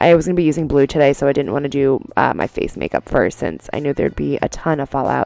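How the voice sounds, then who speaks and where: This woman has a very deep, low pitch and ordinary pitch variation, speaking at a very fast pace. The sound is dry and close with no echo, though noticeable background noise is present. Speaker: beauty vlogger. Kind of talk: makeup tutorial. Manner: casual, chatty.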